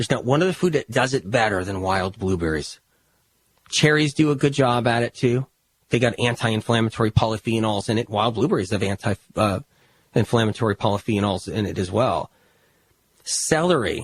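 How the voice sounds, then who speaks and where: The delivery is fairly quick and somewhat breathy, with lively intonation. The sound is dry and close, with no echo. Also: man, medium pitch for a man. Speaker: health author and podcast host. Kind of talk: podcast monologue. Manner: fast; animated.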